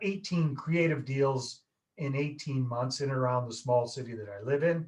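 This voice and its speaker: A man's fairly high, somewhat breathy voice with a Canadian accent, fairly quick in pace, with ordinary pitch variation. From Canada, northern British Columbia. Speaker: real estate investor. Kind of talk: podcast interview. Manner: animated.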